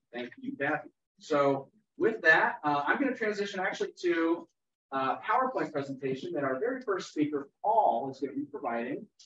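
The voice moves at a fairly quick pace with very wide pitch swings, audible room echo, and light background noise. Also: man, high pitch for a man. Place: meeting room. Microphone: camera far.

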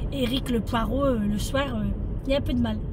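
Noticeable background noise behind a woman's dry, echo-free voice. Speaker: vlogger. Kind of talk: casual vlog chat. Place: car. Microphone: phone near.

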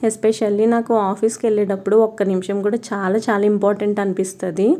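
This woman's voice sits fairly high in pitch and carries a dark, mellow tone. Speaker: home vlogger. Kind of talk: vlog narration.

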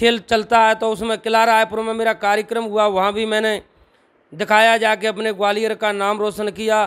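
A man with a high pitch and monotone, flat intonation at a fairly slow pace, against a quiet background. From Gwalior-Chambal region, Madhya Pradesh, India; Madhya Pradesh, India. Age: 40s. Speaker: traditional wrestler and strongman; interviewee. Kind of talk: interview. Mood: earnest, somewhat downcast. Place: home room. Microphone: handheld.

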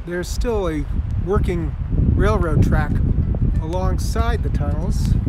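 Over loud background noise, a man speaks at a very slow pace. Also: dry sound with no echo. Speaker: tour host. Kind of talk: casual vlog tour commentary. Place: open country. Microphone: phone near.

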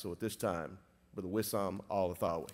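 Ordinary pitch variation with a Southern US accent. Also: man. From US South. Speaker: chapel emcee. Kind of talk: announcements and introduction. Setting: church chapel with audience. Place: church. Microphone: podium.

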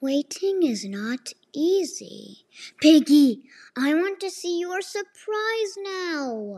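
A woman performs a cartoonish character voice, extremely high in pitch with big pitch swings, at a slow pace. Her tone is dark and mellow, and the sound is dry and close with no echo.

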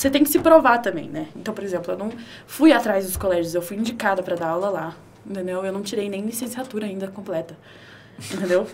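Over noticeable background noise, a woman speaks at a very fast pace with lively intonation. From Brasília, Brazil. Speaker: creative studio owner and tattoo artist. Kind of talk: casual chat.

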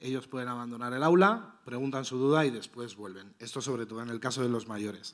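A man at a very fast pace against a quiet background. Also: ordinary pitch variation, hardly any pauses. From Spain. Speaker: secondary school teacher. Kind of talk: conference presentation. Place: hall. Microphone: handheld.

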